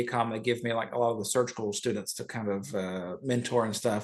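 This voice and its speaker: This is a man speaking. He has an American accent. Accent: Southern US, lighter than before. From US South, rural north Georgia. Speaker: urological surgeon. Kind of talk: podcast interview. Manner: casual, with fillers and restarts.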